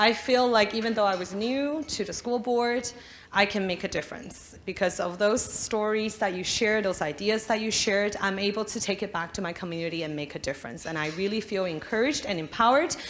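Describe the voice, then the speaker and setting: With a non-native accent, a woman speaks at a medium pitch and fairly quick pace with lively intonation and hardly any pauses, amid audible room echo and noticeable background noise. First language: not English. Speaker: politician. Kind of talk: conference speech.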